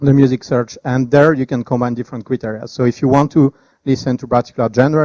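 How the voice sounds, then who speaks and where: A man with a French accent speaks at a fairly quick pace in a dark, mellow tone with monotone, flat intonation, and the sound is dry and close with no echo. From France. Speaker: startup founder. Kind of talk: tech presentation. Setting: meetup with live audience. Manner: hesitant, with fillers.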